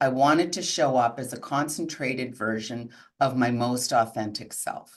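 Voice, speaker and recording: With ordinary pitch variation, a woman talks in a very deep, low voice. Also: moderate pace. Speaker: integrative coach. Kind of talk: webinar talk. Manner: loud, projecting.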